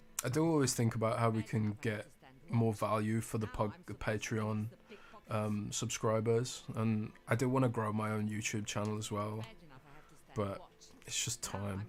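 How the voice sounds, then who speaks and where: Pitched in the medium range, a man speaks with fairly even intonation. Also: moderate pace. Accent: British. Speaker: gaming streamer. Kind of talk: casual live stream chat. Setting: home live stream at night. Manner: soft-spoken.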